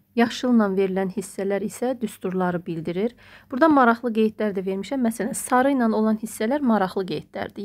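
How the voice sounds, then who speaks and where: A woman's normal speaking voice at medium pitch, with ordinary pitch variation and a moderate pace, in a very clean recording with a silent background. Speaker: math teacher and textbook author. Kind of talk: book walkthrough tutorial.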